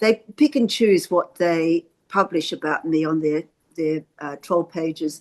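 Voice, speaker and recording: A woman's fairly low-pitched voice in an Australian accent, at a fairly slow pace, with a dry, close sound and no echo. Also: ordinary pitch variation. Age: 70s. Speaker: activist. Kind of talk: interview on a video call.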